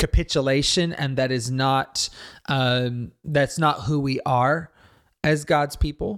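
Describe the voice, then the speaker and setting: The man has an ordinary speaking voice at a medium pitch, with fairly even intonation. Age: 40s. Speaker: pastor and ministry leader. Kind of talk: interview conversation.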